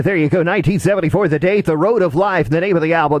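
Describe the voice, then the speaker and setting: There is noticeable background noise behind a man whose fairly high pitch shows ordinary variation. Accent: American. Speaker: internet radio disc jockey hosting a classic country show. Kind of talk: radio DJ patter between songs.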